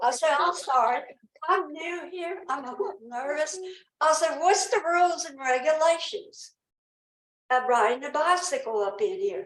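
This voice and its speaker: With a Southern US accent, a woman speaks at an extremely high pitch that swings very widely. She keeps a moderate pace, and the room echo is audible. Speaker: resident speaking at public comment. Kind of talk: public comment at town council meeting. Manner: rambling, halting.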